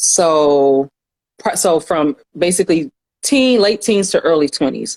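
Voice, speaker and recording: A woman with an American accent, fairly low in pitch, lively in intonation, her loudness very even, in a dry, close sound with no echo. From US South, Atlanta. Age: 30s. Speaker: counselor and educator. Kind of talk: podcast interview. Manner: casual, halting with fillers.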